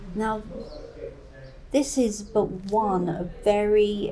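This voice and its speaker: A woman speaks with an East Anglian accent and fairly even intonation. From East Anglia, England. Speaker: folklore presenter. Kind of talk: documentary narration to camera.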